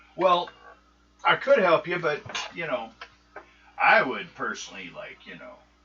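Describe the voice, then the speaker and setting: Doing a put-on character voice, a man speaks at a high pitch with long, frequent pauses. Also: moderate pace. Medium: actual play. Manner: blunt, practical.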